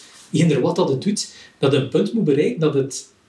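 A man speaks at a very fast pace with a fairly high pitch and lively intonation. Noticeable background noise runs underneath. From West Flanders, Belgium (Rumbeke). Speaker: cartoonist. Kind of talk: casual chat. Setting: at home.

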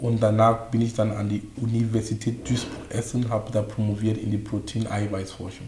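A fairly low-pitched man at a moderate pace, monotone and flat, with noticeable background noise. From Cameroon. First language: not German (speaking German). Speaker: coach and speaker. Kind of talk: interview.

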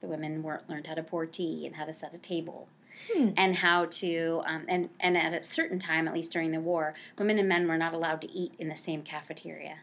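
At a fairly quick pace, a woman talks with an American accent and a fairly low pitch. Her intonation is monotone and flat. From New Jersey (Cranford). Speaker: nonprofit director for family services. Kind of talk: interview.

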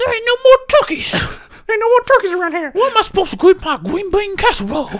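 A whiny, extremely high put-on character voice rattling along at a very fast pace. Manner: whiny, complaining.

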